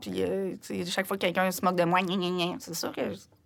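A woman with a Quebec accent and vocal fry speaks at a fairly quick pace and medium pitch on a very clean recording with a silent background. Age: 50s. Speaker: singer-songwriter. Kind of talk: interview conversation. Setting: studio.

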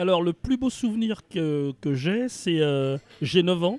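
A man with a normal speaking voice, lively in intonation, at a fairly slow pace. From Paris region, France. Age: 60s. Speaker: retirement planning consultant. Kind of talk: interview conversation.

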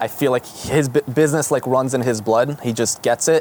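The intonation is fairly even, and the sound is dry and close with no echo, though background noise is noticeable. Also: man. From Israel, Jerusalem. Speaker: dentist. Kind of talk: casual interview chat.

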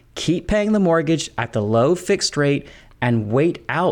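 At a moderate pace, a man speaks in a normal speaking voice with lively intonation. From UK until age seven, then US. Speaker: economist, podcast co-host. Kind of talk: scripted conversational podcast.

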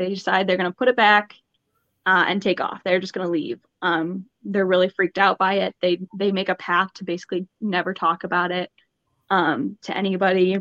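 A woman at medium pitch, an ordinary speaking voice, moderate pace, and a dry, close sound with no echo. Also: fairly even intonation. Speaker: podcast co-host presenting the mystery. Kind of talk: casual chat with storytelling.

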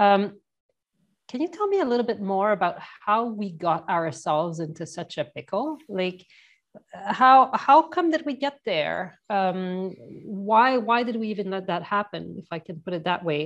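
With a Canadian accent and lively intonation, a woman talks at a fairly slow pace in a plain, everyday voice over a quiet background. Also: medium pitch for a woman. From Canada. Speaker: podcast host. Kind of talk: interview.

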